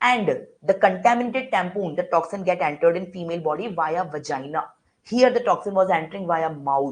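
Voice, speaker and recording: A woman at medium pitch, somewhat breathy, with lively intonation and a fairly quick pace. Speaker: medical lecturer. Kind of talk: online lecture. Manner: fast.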